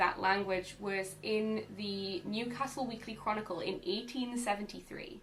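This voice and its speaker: Someone talks at a moderate pace in a Northumbrian accent, with ordinary pitch variation. There is audible room echo and noticeable background noise. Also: woman. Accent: mild Northumbrian. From northern England, Northumberland. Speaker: vlogger. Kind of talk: educational vlog. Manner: casual, animated.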